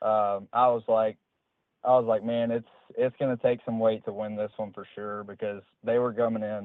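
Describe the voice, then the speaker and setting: A man with an American accent speaks at a moderate pace in a medium pitch, his intonation monotone and flat. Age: 20s. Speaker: professional bass angler. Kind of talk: interview.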